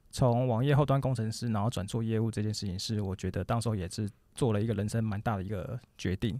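A very fast male voice with a dark, mellow tone, medium pitch and fairly even intonation, on a very clean recording with a silent background. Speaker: business founder. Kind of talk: interview conversation.

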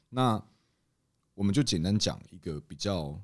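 Here a man talks at a moderate pace with a very deep, low pitch. The recording is very clean, with a silent background. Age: 30s. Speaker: bistro co-owner. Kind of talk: casual chat.

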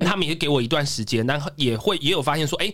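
The man has an ordinary speaking voice, pitched fairly high, with ordinary pitch variation. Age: 30s. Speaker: stand-up comedian. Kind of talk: casual chat.

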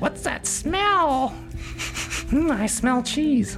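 Amid loud background noise, a squeaky put-on character voice sounds at a fairly high pitch.

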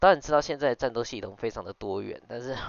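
His speech races along at a very fast pace. The man's pitch sits in the medium range. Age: 20s. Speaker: podcast host and business owner. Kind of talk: casual solo monologue. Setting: late-night home recording. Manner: hesitant, many fillers.

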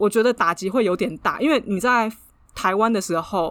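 A woman speaks fairly quickly at a fairly high pitch, with ordinary pitch variation and a plain, everyday voice. The recording is very clean with a silent background. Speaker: podcast co-host. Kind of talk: casual chat.

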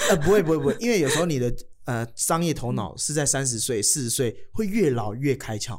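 A man speaks fairly quickly in a Taiwanese accent. His fairly high pitch moves in very wide swings. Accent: Taiwanese Mandarin. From Taiwan, Kaohsiung. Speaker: comedian. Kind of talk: casual chat.

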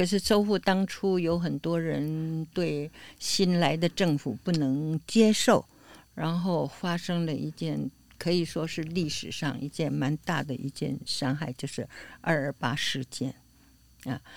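At a very slow pace, a woman's very deep, low pitch is heard on a very clean recording with a silent background. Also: ordinary pitch variation. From Taiwan, came from Beijing as a child. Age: 80s+. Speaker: elderly interviewee, community volunteer. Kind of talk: casual interview.

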